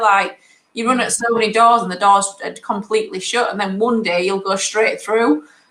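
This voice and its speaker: Woman with a northern English accent, fairly high-pitched, fairly even intonation, fairly quick delivery. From northern England. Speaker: property investor. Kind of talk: interview.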